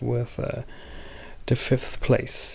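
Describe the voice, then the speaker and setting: A man with a German accent, fairly slow pace and a dark, mellow tone. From Germany. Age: 40s. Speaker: movie reviewer. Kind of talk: casual video review. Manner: halting, many fillers.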